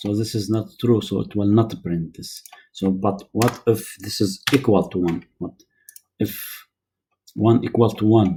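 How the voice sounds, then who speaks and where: A man speaks at a fairly slow pace in a dark, mellow tone. His voice is somewhat breathy, with ordinary pitch variation. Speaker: programming tutor. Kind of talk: tutorial. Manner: hesitant, many fillers.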